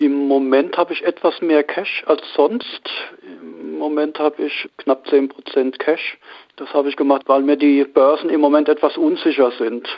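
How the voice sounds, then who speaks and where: An ordinary speaking voice, a man's, pitched fairly high. He goes at a fairly slow pace with fairly even intonation. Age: 50s. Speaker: amateur stock trader. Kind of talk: interview.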